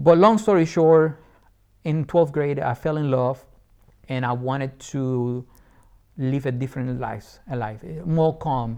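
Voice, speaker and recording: A man with a Puerto Rican accent speaks fairly slowly with long, frequent pauses, a dark, mellow tone, a fairly high pitch and ordinary pitch variation. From Puerto Rico. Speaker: entrepreneur and Air Force veteran. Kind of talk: interview conversation. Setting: studio. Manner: animated.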